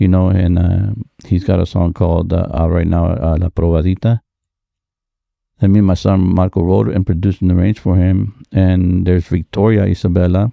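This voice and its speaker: Dark and mellow in tone, a man with a very deep, low pitch speaks at a fairly quick pace and very even loudness, in a dry, close sound with no echo. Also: fairly even intonation. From Aurora, Illinois area (Chicago), born in Texas. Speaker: Tejano band leader and songwriter. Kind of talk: interview conversation. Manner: halting, many fillers.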